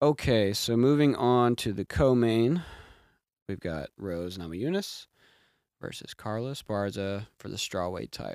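Here is an ordinary speaking voice: a man of medium pitch, talking at a fairly slow pace with lively intonation and big swings in loudness. The recording is very clean, with a silent background. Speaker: podcast host. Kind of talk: casual comedic sports chat interview.

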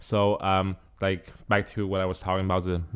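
Over a very clean recording with a silent background, a man with a Chinese accent speaks at a fairly low pitch. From China. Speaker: graduate student. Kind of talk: casual chat.

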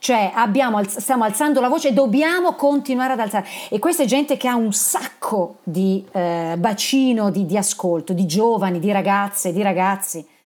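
An ordinary speaking voice from a woman, fairly high in pitch, with lively intonation at a moderate pace. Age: 50s. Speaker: podcast host. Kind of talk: interview.

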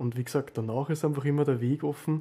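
Somewhat breathy, the man's voice sits fairly high in pitch and carries a dark, mellow tone. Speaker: event host and moderator. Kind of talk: moderating a group talk. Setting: video call.

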